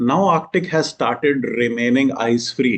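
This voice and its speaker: With an Indian accent, a man talks at a moderate pace. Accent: Indian English, Hindi-speaking. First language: Hindi. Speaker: exam coaching teacher. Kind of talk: lecture. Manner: code-switching Hindi and English.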